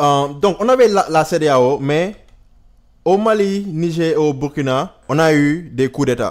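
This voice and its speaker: With a Senegalese accent, a man speaks at a very slow pace. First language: Wolof (speaking French). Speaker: YouTuber, political commentator. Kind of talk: casual video commentary. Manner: halting, with fillers and English words.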